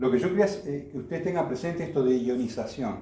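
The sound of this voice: A man's dark, mellow tone at medium pitch, fairly quick pace and lively intonation, with strong room echo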